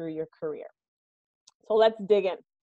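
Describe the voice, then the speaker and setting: A woman speaks in an upbeat tone. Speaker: human resources executive. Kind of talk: workshop presentation. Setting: video call from home. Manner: loud.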